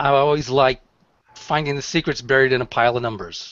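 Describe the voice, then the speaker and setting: A man speaks with fairly even intonation. The sound is dry, with no echo. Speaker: real estate agent. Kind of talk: panel discussion. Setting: video call. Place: office. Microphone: headset.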